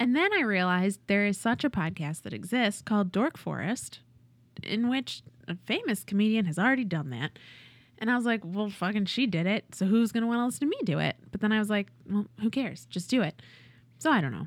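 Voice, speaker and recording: An ordinary speaking voice with an American accent moves at a fairly quick pace, its intonation lively. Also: woman, medium pitch for a woman. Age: 30s. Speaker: improv performer. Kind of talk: casual chat.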